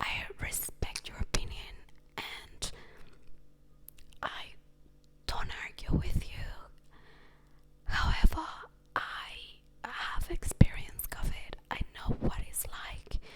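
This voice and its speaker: Very slow whispering from a woman, broken by long, frequent pauses, with big swings in loudness over noticeable background noise. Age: young. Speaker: ASMR creator. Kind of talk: casual storytelling monologue. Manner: soft-spoken.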